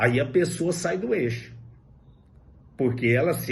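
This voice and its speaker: There is audible room echo as a man speaks at a very slow pace. His medium-pitched voice is somewhat breathy. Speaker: high school philosophy teacher. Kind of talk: lecture.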